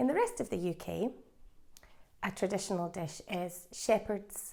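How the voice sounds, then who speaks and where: Ordinary pitch variation in a Scottish accent. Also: woman. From Scotland. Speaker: English teacher. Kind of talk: language lesson. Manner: slow.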